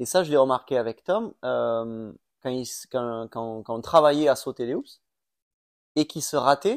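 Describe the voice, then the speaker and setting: The recording is very clean and dry, close with no echo, over a silent background. A man speaks at a fairly slow pace in a medium pitch with ordinary pitch variation. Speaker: former supercross racer and coach. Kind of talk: casual chat. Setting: at home on a couch.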